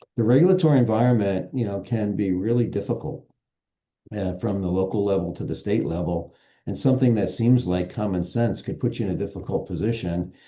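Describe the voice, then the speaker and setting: A man's fairly low voice, dark and mellow in tone, fairly quick, with ordinary pitch variation and a quiet background. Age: 60s. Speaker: business association executive. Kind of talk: podcast interview.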